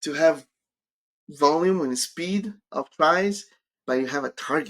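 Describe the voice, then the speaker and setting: With a Brazilian accent, a man talks at a fairly slow pace in a fairly high pitch, his pitch varying in an ordinary way. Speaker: career coach. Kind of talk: live stream Q&A.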